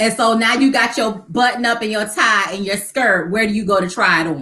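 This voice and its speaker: At a moderate pace, a woman with a fairly high voice speaks in an American accent with ordinary pitch variation. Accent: Geechee accent from coastal Georgia, slight. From Savannah, Georgia (Chatham County), US South. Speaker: nonprofit founder and homemaker. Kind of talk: casual interview chat.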